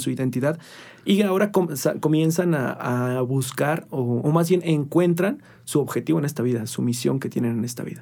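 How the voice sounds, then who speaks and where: A man with a dark, mellow tone and a fairly high pitch speaks at a moderate pace on a very clean recording with a silent background. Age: 20s. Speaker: nutritionist. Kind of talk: casual chat.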